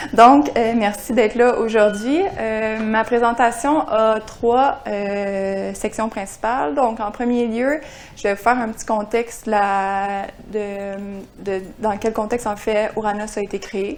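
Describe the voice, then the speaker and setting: A woman in a Quebec accent, very slow pace and fairly even intonation. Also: fairly high pitch for a woman. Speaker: climate services scientist. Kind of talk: seminar presentation. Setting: seminar room with audience. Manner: hesitant, frequent euh.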